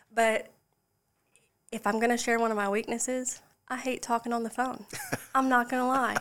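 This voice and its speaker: A woman with a South Carolina accent speaks at a high pitch in a flat monotone. She leaves long, frequent pauses. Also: moderate pace. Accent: US Southern, South Carolina. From South Carolina Lowcountry, Charleston area. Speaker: mortgage loan professional. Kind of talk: casual interview.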